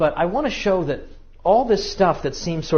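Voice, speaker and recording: A man talks with lively intonation, and the room echo is audible. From New England. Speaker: history lecturer. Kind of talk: lecture. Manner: fast.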